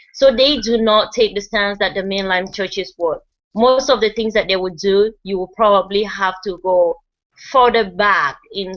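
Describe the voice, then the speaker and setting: With a non-native accent, a woman speaks at a medium pitch and a moderate pace. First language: not English. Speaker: group discussion leader. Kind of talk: presentation reading from notes. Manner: halting, stumbles over words.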